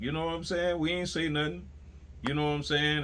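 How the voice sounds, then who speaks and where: A man is speaking. Room echo is audible. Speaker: rapper. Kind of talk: casual commentary. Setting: home studio. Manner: loud.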